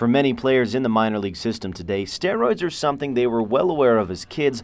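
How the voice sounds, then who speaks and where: A man at medium pitch, very fast pace and lively intonation. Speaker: sports anchor and reporter. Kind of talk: TV sports news anchor/reporter delivery.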